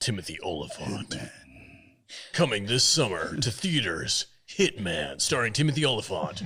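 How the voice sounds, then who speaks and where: At a moderate pace, a man uses a put-on character voice at medium pitch. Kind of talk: trailer narration. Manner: cool, dramatic.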